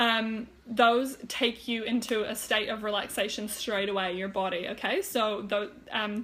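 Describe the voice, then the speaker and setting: A woman with a fairly high pitch speaks at a fairly slow pace, with hardly any pauses. Her intonation stays monotone and flat. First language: German. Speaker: health and wellness coach. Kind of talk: live stream talk. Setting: Facebook live video. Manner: hesitant, many fillers; casual, chatty.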